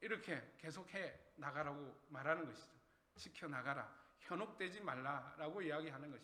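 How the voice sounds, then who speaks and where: A raised, projected voice with a bright, sharp tone, at a fairly slow pace, with audible room echo. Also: man. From Gyeongsang region, Korea. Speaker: pastor. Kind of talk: sermon. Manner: conversational, asks the congregation questions.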